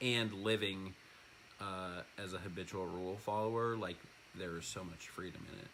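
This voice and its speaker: A man talks in a bright, sharp tone with fairly even intonation. Audible room echo surrounds his voice. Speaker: husband of the channel host, recovering addict. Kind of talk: casual chat. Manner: loud.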